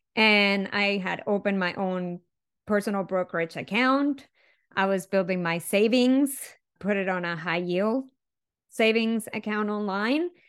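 Over a silent background in a very clean recording, a woman with a Spanish accent speaks at a fairly slow pace. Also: medium pitch for a woman, ordinary pitch variation. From Venezuela. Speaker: chemical engineer and speaker. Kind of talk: interview conversation.

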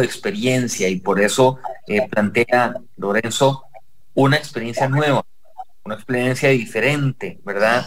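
At a moderate pace, a man with an unremarkable speaking voice and a medium pitch talks with lively intonation. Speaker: radio host. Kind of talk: radio interview.

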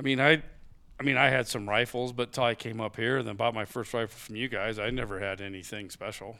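Very fast and bright, sharp in tone, a man with a Midwestern US accent speaks at medium pitch with fairly even intonation on a very clean recording with a silent background. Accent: general Midwestern US. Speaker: hunting guest. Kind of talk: casual chat. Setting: studio.

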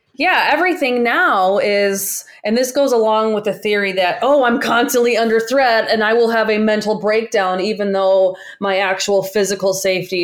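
A woman with a normal speaking voice, medium pitch, ordinary pitch variation, very even loudness, a moderate pace and hardly any pauses. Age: 30s. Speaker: podcast host, behavior analyst. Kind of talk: casual chat; reading aloud.

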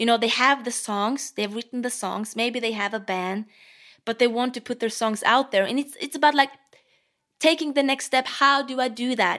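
The speaker uses a bright, sharp tone with a Norwegian accent, a moderate pace and ordinary pitch variation. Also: woman, high pitch for a woman. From Norway. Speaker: guitarist and singer-songwriter. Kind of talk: casual interview chat. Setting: video call.

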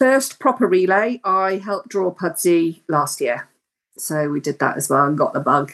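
A woman with an ordinary speaking voice talks at a moderate pace and medium pitch, her intonation lively. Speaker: driving instructor. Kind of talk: casual interview.

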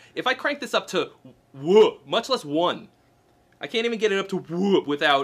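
An American accent marks this man's speech. His delivery moves at a moderate pace. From US Northeast, Boston. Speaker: guitarist and gear video creator. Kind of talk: casual interview about gear.

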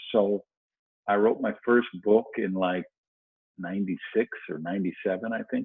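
Very slowly and with long, frequent pauses, a man with an American accent talks at a fairly low pitch with fairly even intonation. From US Midwest (Madison, Wisconsin). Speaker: author and motivational speaker. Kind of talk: interview.

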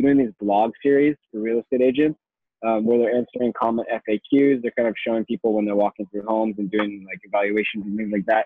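A man talks at a fairly quick pace with medium pitch and fairly even intonation. His is an unremarkable speaking voice. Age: 20s. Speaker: marketing agency owner. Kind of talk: casual interview.

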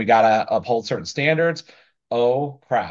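In a quiet background, a man with an American accent speaks at a moderate pace and medium pitch with ordinary pitch variation, an unremarkable speaking voice. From US South, small-town Florida. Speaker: building contractor and business owner. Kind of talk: interview.

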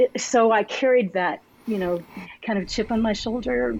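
In a Texan accent, a woman talks with ordinary pitch variation. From Texas, Arlington. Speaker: pastor. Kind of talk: interview.

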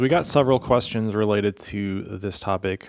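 In a plain, everyday voice, the speech comes at a moderate pace with ordinary pitch variation. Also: man. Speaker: pastor. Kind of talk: casual chat.

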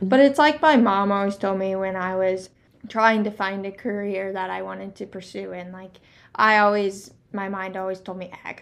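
This voice has a Midwestern US accent, ordinary pitch variation and a moderate pace. The recording is very clean, with a silent background. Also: woman. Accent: US Midwest. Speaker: youth livestock exhibitor. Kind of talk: casual interview.

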